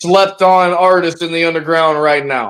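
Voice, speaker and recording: A man's high voice at a moderate pace, with fairly even intonation. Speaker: underground rap artist and label founder. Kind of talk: casual chat. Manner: halting, many repetitions.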